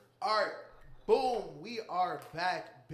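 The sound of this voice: This put-on character voice is booming and fairly high in pitch.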